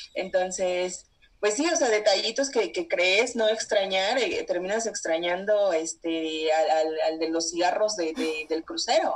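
A woman with a Mexican accent speaks at a fairly slow pace with hardly any pauses, her medium pitch carrying lively intonation. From Mexico. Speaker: traveler. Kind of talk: interview.

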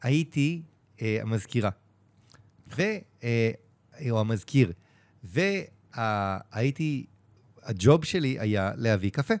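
In a very clean recording with a silent background, a man speaks at a very slow pace with long, frequent pauses. His medium-pitched voice has lively intonation. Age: 40s. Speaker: online community founder. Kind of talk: casual chat.

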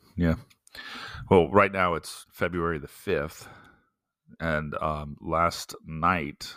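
A man with an American accent has a very deep, low pitch and fairly even intonation. The recording is very clean, with a silent background. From US South (Florida, South Carolina). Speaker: pastor and podcast host. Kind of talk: casual chat. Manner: laughs often.

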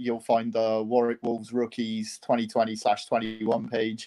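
A man's dark, mellow voice with a Welsh accent. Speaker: university sports club committee member.

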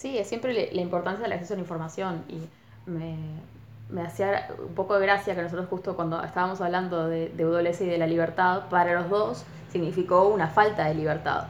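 A fairly low-pitched woman with a Rioplatense accent, fairly quick pace, fairly even intonation and audible room echo. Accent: Rioplatense, close to Buenos Aires. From Uruguay, Colonia. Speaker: university student. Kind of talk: casual interview chat.

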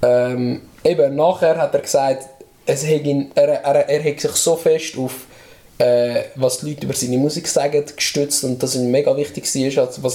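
A man talks at a moderate pace. Noticeable background noise can be heard. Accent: Swiss. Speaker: podcast host, rap album reviewer. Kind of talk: casual chat.

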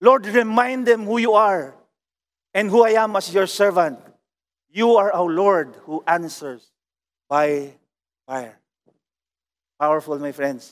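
A high-pitched man speaks very slowly with lively intonation and long, frequent pauses. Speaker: pastor. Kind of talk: sermon. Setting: online worship service. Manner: fervent, declamatory preaching, rising emphasis.

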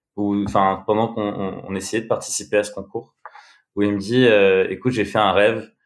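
A man with a fairly low pitch speaks in a normal speaking voice. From France, Bordeaux. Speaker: music booker and creative. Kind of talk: casual chat.

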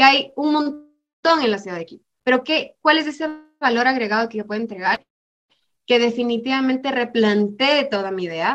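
A woman's high-pitched voice with big swings in loudness. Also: ordinary pitch variation, moderate pace. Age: 20s. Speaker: psychologist working in youth entrepreneurship education. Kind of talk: interview conversation.

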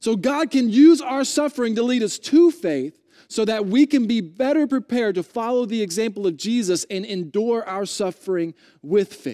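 Loud and high-pitched, a man speaks at a moderate pace with a dark, mellow tone and lively intonation, in a very clean, dry, close recording with a silent background and no echo. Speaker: pastor. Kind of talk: sermon. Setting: church.

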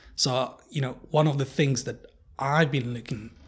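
Speaking with a Polish accent, a man uses fairly even intonation and sounds somewhat breathy. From Poland. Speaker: researcher and technologist. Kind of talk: interview conversation. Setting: in person in Warsaw. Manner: hesitant, many fillers.

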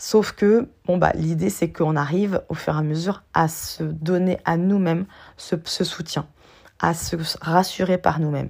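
A fairly slow, fairly low-pitched woman with fairly even intonation, on a very clean recording with a silent background. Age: 40s. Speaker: life coach and podcast host. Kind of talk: solo podcast monologue. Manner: hesitant, many fillers.

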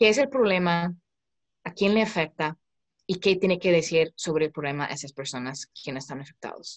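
A woman with an American accent speaks at a moderate pace and fairly low pitch, with lively intonation, big swings in loudness and a dry, close sound with no echo. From United States. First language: English (speaking Spanish). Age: 20s. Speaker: startup founder. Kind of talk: interview. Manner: halting.

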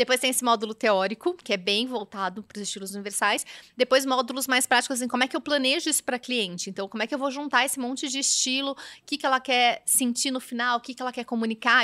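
A woman talks at a very fast pace in a high pitch with a bright, sharp tone and ordinary pitch variation. The recording is very clean with a silent background and a dry, close sound with no echo. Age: 40s. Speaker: image and style consultant. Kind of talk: casual chat.

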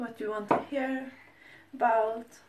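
Noticeable background noise runs behind this recording. A woman speaks with a fairly high pitch and ordinary pitch variation. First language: not English. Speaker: food vlogger. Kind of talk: tutorial. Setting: home kitchen. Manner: halting.

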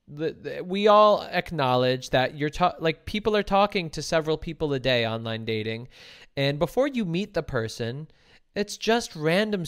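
Here a man talks in a fairly high pitch at a moderate pace. His pitch swings very widely. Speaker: relationship podcast host and live streamer. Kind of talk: casual chat. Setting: live stream video call. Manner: animated.

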